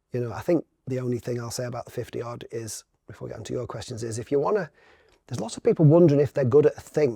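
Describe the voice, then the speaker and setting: Very fast and somewhat breathy, a man's dark, mellow voice sits at a medium pitch, with lively intonation and big swings in loudness, the sound dry and close with no echo. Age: 50s. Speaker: brand consultant and entrepreneur. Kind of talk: podcast interview.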